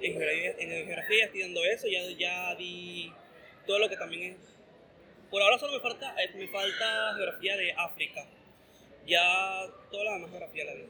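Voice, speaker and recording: Big swings in loudness mark a man's moderate pace. He leaves long, frequent pauses. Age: 20s. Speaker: university student and cinema worker. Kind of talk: interview.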